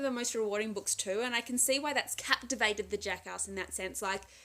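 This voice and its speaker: Fairly quick and fairly high in pitch, a woman's bright, sharp voice shows ordinary pitch variation. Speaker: book vlogger. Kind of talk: casual book review monologue. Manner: fast.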